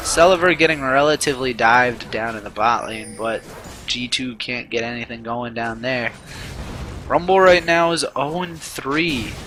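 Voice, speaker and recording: With music in the background, a man talks at a medium pitch and moderate pace, his pitch varying in an ordinary way. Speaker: amateur esports caster. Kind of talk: live commentary.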